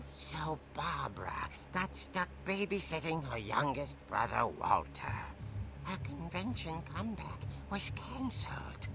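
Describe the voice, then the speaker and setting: A low-pitched, put-on character voice with a theatrical tone speaks at a fairly slow pace over loud background noise. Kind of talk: horror comic narration. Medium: video game. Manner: theatrical, relishing.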